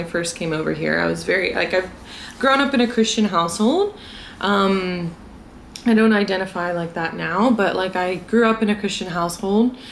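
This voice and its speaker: A woman with an American accent at a moderate pace, with audible room echo. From US South, South Carolina. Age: 20s. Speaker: vlogger. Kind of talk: casual chat. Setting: drinking tea at home.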